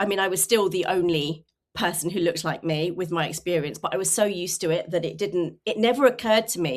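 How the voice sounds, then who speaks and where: In a southern English accent, a woman talks at a very fast pace with a medium pitch. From England, rural Suffolk. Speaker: communications consultant. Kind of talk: interview.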